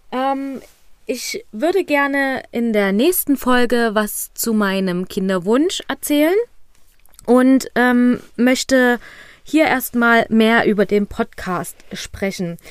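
A woman speaks very slowly in a high voice with lively intonation, on a very clean recording with a silent background. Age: 20s. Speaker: fertility coach and podcast host. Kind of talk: solo podcast monologue.

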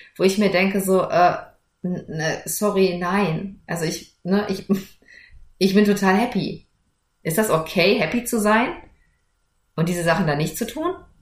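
Somewhat breathy, a woman speaks at a fairly slow pace with long, frequent pauses. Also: medium pitch for a woman, ordinary pitch variation. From Germany, rural farm upbringing. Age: 40s. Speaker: lawyer and entrepreneur, podcast host. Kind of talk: solo podcast monologue. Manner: casual, lively.

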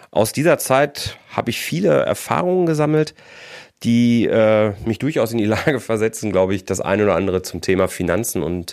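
A man speaks at a moderate pace in a fairly low voice with lively intonation. The recording is very clean, with a silent background. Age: 40s. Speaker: podcast host, financial controller. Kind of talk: solo podcast monologue. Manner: animated.

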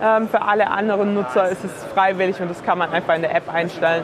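A woman talks very fast at a fairly low pitch. Her intonation stays fairly even over noticeable background noise. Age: 20s. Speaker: startup co-founder. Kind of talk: interview. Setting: trade fair.

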